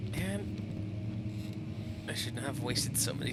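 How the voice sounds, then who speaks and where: There is noticeable background noise and audible room echo as a man with a fairly low pitch talks with fairly even intonation. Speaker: streamer. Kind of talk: live gameplay commentary. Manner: whispering.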